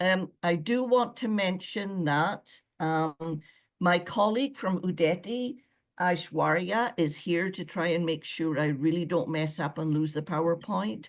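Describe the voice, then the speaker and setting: A woman speaks with a Scottish accent and lively intonation. Her pace is fairly slow, and the background is quiet. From Scotland. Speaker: former visa officer. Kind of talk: webinar presentation.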